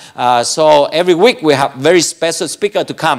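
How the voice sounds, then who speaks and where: A man against a quiet background. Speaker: church service host. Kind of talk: bilingual church announcements. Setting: church. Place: church. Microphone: handheld.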